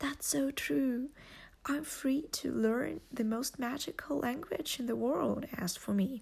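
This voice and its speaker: Somewhat breathy and fairly slow, a woman speaks with a Russian accent. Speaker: podcast host and language learner. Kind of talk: scripted welcome monologue.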